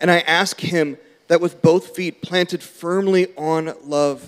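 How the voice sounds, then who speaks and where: The man has a plain, everyday voice with fairly high pitch and ordinary pitch variation. He goes at a fairly slow pace. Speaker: church member reading scripture. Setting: church.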